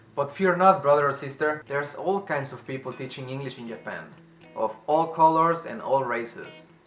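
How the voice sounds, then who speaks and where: A man's fairly high-pitched voice with a non-native accent, big swings in loudness, and music in the background. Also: ordinary pitch variation, moderate pace. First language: non-native English speaker. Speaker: English teacher in Japan. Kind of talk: casual advice talk to camera.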